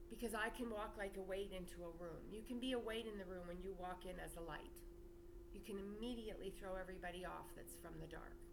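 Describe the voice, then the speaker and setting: This woman talks at a very fast pace and a medium pitch, with fairly even intonation. Audible room echo and noticeable background noise accompany her. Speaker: spiritual teacher and channel owner. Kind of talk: spiritual monologue to camera. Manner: loud, projected.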